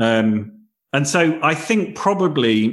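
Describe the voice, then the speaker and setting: Here a man talks with a British accent. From Britain. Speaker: company founder and author. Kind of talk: casual interview.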